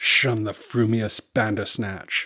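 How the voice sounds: A man does a put-on character voice, speaking slowly at a fairly low pitch in a bright, sharp tone with a slightly husky edge, on a very clean recording with a silent background.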